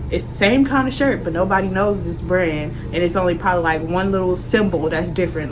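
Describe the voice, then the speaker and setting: A woman with a fairly low pitch at a fairly quick pace, with music in the background. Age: 20s. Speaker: lifestyle vlogger. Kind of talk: casual chat. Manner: soft-spoken.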